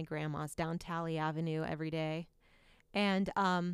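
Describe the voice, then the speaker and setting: Heard in a very clean recording with a silent background, a woman speaks with an American accent at a fairly low pitch. She has a plain, everyday voice and a moderate pace. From Indiana, Muncie. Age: 40s. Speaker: television executive producer. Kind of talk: interview.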